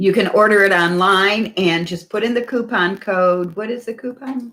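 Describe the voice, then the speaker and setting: A woman's bright, sharp, animated voice at medium pitch, with ordinary pitch variation and a moderate pace. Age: 70s. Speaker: winery owner. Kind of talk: virtual wine tasting. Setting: video call.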